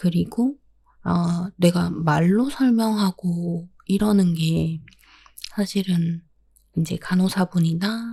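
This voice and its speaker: Soft-spoken and somewhat breathy, a woman talks in a calm tone with a dark, mellow voice and ordinary pitch variation. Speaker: podcast host. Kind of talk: solo podcast talk about pets. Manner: soft, calm, sleepy-sounding.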